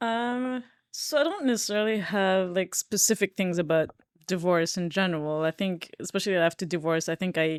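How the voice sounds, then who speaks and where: Recorded very cleanly against a silent background, a woman with a non-native accent speaks at a moderate pace with ordinary pitch variation and a dry, close sound with no echo. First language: not English. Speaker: podcast co-host. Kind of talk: casual chat. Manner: halting, many fillers.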